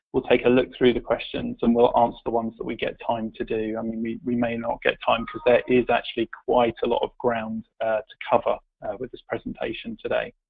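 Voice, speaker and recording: Hardly pausing at all, a man with a British accent talks at a fairly quick pace. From UK. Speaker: tech company executive. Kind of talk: webinar presentation. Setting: online webinar call.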